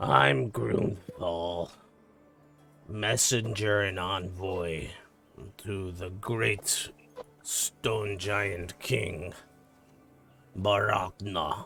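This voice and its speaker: Putting on a character voice, a man speaks very slowly in a raspy, very deep, low pitch, with long, frequent pauses and faint music in the background. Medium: actual play. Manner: blunt, proud.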